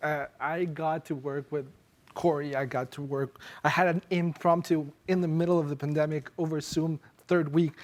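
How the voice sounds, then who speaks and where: A fairly high-pitched male voice with a non-native accent and fairly even intonation. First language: not English. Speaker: former fellow, policy panelist. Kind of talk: panel discussion at live event. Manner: halting, frequent fillers.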